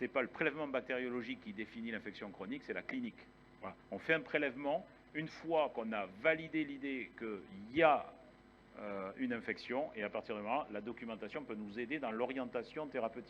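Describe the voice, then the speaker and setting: Ordinary in its pitch variation, the speech moves along at a fairly quick pace. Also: man, medium pitch for a man. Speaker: infectious disease physician, conference speaker. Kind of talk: conference lecture. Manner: fast.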